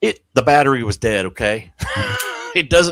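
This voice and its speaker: A man talks at a moderate pace and medium pitch, with ordinary pitch variation, in an ordinary speaking voice. The sound is dry and close, with no echo. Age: 50s. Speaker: amateur radio content creator. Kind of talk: casual chat. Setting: live stream.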